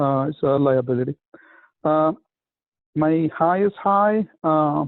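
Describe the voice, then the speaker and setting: Very slowly, a man with a fairly high pitch speaks, showing ordinary pitch variation. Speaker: networking group member. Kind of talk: video call group discussion. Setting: video call. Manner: halting, many fillers.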